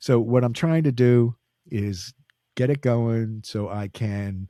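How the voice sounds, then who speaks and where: Speaking with an American accent, a man uses a fairly low pitch, a dark, mellow tone and ordinary pitch variation in a dry, close sound with no echo and a very clean recording with a silent background. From Philadelphia, Pennsylvania. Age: 70s. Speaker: jazz percussionist and radio host. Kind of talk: interview. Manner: halting, many fillers.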